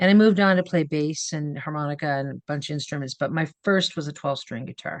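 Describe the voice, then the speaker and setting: Against a quiet background, a woman talks at a fairly quick pace. Her pitch is very deep and low. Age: 60s. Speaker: musician. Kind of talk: casual chat.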